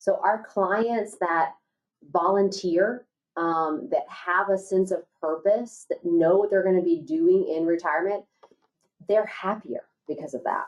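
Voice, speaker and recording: A woman with an unremarkable speaking voice talks fairly slowly at a medium pitch, with ordinary pitch variation. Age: 40s. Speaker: financial advisor. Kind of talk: webinar discussion.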